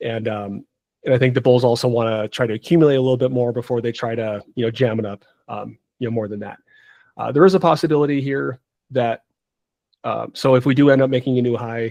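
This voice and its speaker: Against a quiet background, the voice has a dark, mellow tone and moves at a very fast pace. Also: man, medium pitch for a man, ordinary pitch variation. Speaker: market analyst hosting trading call. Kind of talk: live market analysis on group call. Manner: hesitant, many fillers.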